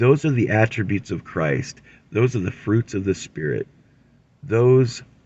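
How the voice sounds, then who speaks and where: A man with a medium-pitched voice speaks fairly slowly, with vocal fry. His intonation is lively. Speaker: religious commentator. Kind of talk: scripture teaching.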